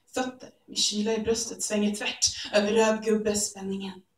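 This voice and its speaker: A woman speaks at a fairly slow pace in a medium pitch with monotone, flat intonation, and audible room echo surrounds her voice. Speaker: slam poet. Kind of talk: spoken word poetry performance. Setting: live stage, theatre audience. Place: stage. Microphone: camera far.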